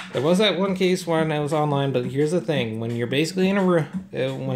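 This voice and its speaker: A man with a fairly high pitch and ordinary pitch variation talks as noticeable background noise carries on. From Canada (Toronto). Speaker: gaming streamer. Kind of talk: gameplay commentary. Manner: fast; animated.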